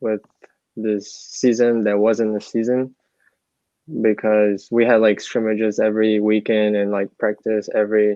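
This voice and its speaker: Speaking at a fairly slow pace, a man with a Portuguese accent talks at a medium pitch. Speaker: college soccer player. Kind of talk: interview.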